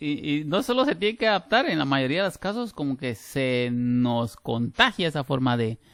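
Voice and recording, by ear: With a Guatemalan accent, a man speaks at a moderate pace and medium pitch, his fairly bright tone carrying big pitch swings.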